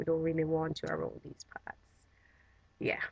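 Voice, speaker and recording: A woman speaks with a Jamaican accent. Her voice is fairly low in pitch. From Jamaica, Trelawny (rural). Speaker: vlogger. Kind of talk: casual vlog talk.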